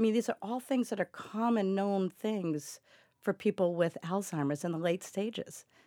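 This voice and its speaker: Recorded very cleanly, dry and close with no echo and a silent background, a woman with an American accent speaks at a moderate pace in a dark, mellow tone, her medium pitch varying in an ordinary way. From Massachusetts, US. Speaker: caregiver and advocate. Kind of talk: interview.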